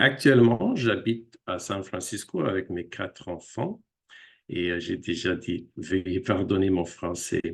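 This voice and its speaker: A man speaks at a very slow pace in a very deep, low pitch with ordinary pitch variation. The background is quiet. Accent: English. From United States. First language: English (speaking French). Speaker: linguist. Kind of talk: lecture. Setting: video call. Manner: halting, many hesitations.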